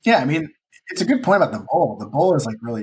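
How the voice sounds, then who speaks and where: Man with a Chicago accent on a very clean recording with a silent background. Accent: Chicago accent, noticeable on the A vowels. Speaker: ramen cook and cookbook author. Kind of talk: casual podcast interview.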